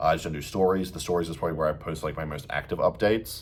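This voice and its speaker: The speaker is a man with an Australian accent. His voice is very deep and low. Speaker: bodybuilder and fitness coach. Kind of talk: casual vlog update. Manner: casual, filler-heavy.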